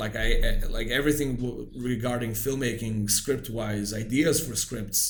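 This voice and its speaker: A man with a Serbian accent, medium-pitched, at a fairly slow pace with hardly any pauses, in a room with audible echo. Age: 40s. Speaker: film director. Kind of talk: casual chat. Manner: halting.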